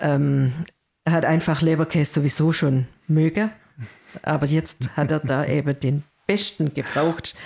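A woman's very deep, low voice at a fairly slow pace, with fairly even intonation, very even loudness and long, frequent pauses. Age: 50s. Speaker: church worker, co-host. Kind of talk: casual religious discussion.

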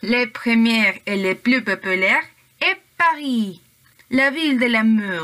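Bright and sharp in tone, a woman with a fairly high pitch and lively intonation speaks at a very slow pace with very even loudness and long, frequent pauses. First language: Spanish (speaking French). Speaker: language student, podcast co-host. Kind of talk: student podcast presentation, partly read.

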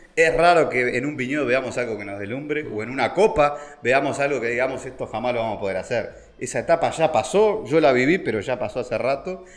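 A man talks at a very fast pace with hardly any pauses. His fairly high voice has lively intonation. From Uruguay, Montevideo. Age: 50s. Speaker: vine grower. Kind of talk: casual interview. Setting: at the guest's home. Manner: halting, with many fillers and repetitions.

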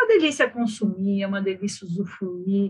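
Somewhat breathy, a woman talks at a medium pitch. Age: 40s. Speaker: financial education expert. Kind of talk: casual chat.

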